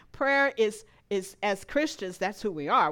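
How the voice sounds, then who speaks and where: Very wide pitch swings mark a woman's fairly high, bright, sharp voice at a moderate pace. The recording is very clean, with a silent background. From Louisiana. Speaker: lay speaker at church. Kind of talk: sermon. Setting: church service with congregation.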